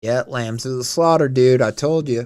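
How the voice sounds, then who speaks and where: A man uses a put-on character voice at a medium pitch, and it comes out shaky. His intonation is fairly even and his pace moderate. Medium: read story. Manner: faltering, quivering.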